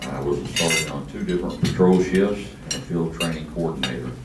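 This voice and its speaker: Amid noticeable background noise and audible room echo, a man with a West Texas accent talks at a fairly quick pace in a very deep, low voice. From Texas, San Angelo. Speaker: police chief candidate. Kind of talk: campaign speech. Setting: luncheon forum with audience. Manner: loud.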